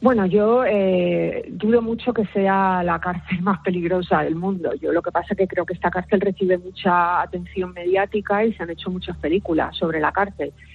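Fairly even in intonation and moderate in pace, this speaker, in a Canary Islands accent, barely pauses at all. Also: woman, medium pitch for a woman. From Canary Islands (Lanzarote). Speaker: forensic psychologist. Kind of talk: radio interview.

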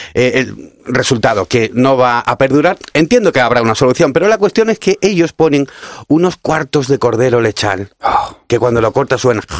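Medium-pitched male speech with lively intonation, moderate pace and very even loudness, dry and close with no echo. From Cádiz, Andalusia. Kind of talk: casual radio interview. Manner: animated.

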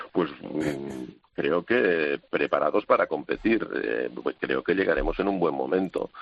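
A man talks at a very slow pace. He leaves hardly any pauses. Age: 60s. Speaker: assistant handball coach. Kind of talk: radio interview.

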